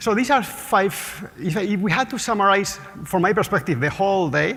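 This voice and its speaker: A man talks with a Spanish accent and lively intonation. Noticeable background noise runs behind him. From Spain, Basque Country. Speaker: market research CEO and economist. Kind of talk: conference talk. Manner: fast.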